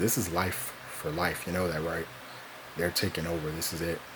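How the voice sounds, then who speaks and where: With noticeable background noise and audible room echo, a man speaks in a very deep, low pitch with monotone, flat intonation. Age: 20s. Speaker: vlogger. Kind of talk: personal monologue. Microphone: cheap recording equipment.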